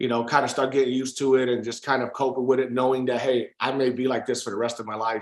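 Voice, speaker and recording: This man talks at a very fast pace. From Puerto Rican heritage, US. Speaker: real estate investor. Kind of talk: interview. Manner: hesitant, many fillers.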